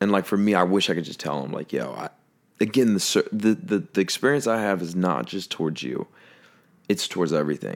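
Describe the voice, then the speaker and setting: A man's fairly low-pitched voice with vocal fry and lively intonation, at a fairly quick pace, in a very clean recording with a silent background. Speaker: podcast co-host. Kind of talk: casual chat.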